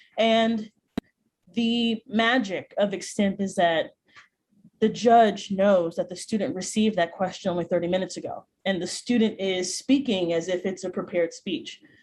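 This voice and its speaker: Her voice, a woman's, sits at a medium pitch with ordinary pitch variation. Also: moderate pace. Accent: American. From US Midwest, Chicago. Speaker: speech and debate coach. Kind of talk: workshop presentation. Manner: many vocal fillers.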